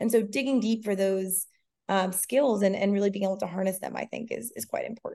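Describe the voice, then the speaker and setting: Somewhat breathy and dark, mellow in tone, a woman with an American accent talks at a fairly quick pace and medium pitch with ordinary pitch variation. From Massachusetts, near Cape Cod. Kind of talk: interview.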